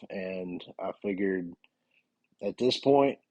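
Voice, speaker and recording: With a Southern US accent, a man speaks at a fairly low pitch with ordinary pitch variation. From US South, North Carolina. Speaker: police officer and podcast host. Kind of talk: podcast monologue.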